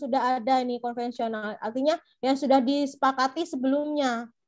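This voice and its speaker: With a Madurese accent, a woman speaks fairly quickly in a high voice with fairly even intonation. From Madura, Indonesia. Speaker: teacher trainer. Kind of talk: online lecture.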